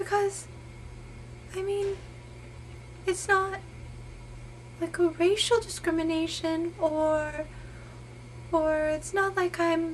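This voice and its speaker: A woman in a put-on character voice speaks very slowly and breathily at an extremely high pitch, with long, frequent pauses and clear background noise. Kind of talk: improvised character monologue. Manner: hesitant, earnest.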